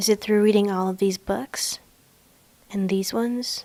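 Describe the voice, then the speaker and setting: A woman speaks with a non-native accent. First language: not English. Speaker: university student. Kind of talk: personal narrative video essay.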